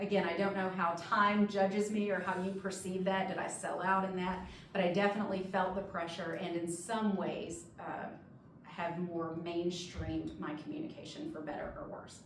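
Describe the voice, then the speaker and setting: A woman of medium pitch talks in an American accent at a moderate pace with ordinary pitch variation, amid noticeable background noise and audible room echo. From northern Mississippi. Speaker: higher education administrator. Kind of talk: guest talk to students.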